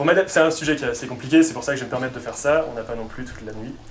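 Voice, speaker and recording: A man speaks very fast at a medium pitch, with audible room echo and noticeable background noise. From southern France, Pyrénées-Orientales. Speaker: engineer and climate consultant, lecturer. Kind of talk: performed lecture (conférence gesticulée).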